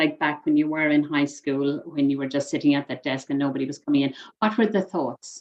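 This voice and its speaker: A woman with an Irish accent speaks at a fairly quick pace in a very deep, low pitch, using ordinary pitch variation. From Ireland. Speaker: mind coach and trainer. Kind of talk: coaching session.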